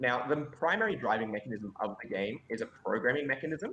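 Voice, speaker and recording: A man speaks with an Australian accent. His pace is moderate and his intonation lively. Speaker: game designer. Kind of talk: pitch presentation. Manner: loud.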